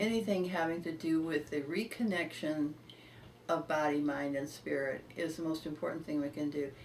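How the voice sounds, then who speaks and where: An ordinary amount of pitch movement at a moderate speed. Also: woman, very deep, low pitch for a woman. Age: 80s+. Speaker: healing client giving testimonial. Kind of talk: interview answer.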